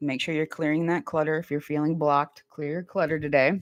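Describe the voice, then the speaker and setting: Music plays in the background behind a speaker with an American accent. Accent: Midwest accent, people say she has one. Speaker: tarot reader and reiki ASMR streamer. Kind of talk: casual live-stream chat with viewers. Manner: casual, chatty.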